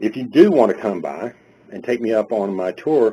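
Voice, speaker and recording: A dark, mellow voice in a Carolina accent at a moderate pace. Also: man. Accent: Southern US, Carolina. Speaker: webinar presenter.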